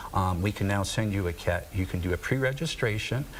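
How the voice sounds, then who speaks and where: A man's fairly low-pitched voice comes through with noticeable noise in the background. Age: 60s. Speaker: nonprofit director and kidney donor. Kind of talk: TV interview. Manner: hesitant, many fillers.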